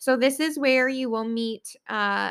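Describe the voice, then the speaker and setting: On a very clean recording with a silent background, a woman speaks at a fairly slow pace with fairly even intonation. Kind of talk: casual solo podcast talk. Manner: many filler words (um, uh).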